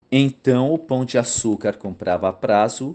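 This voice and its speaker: A man's dark, mellow voice at a fairly slow pace, with lively intonation and a quiet background. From Brazil, São Paulo. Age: 60s. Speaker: YouTube commentator, former accounting teacher. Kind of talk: narrated commentary video.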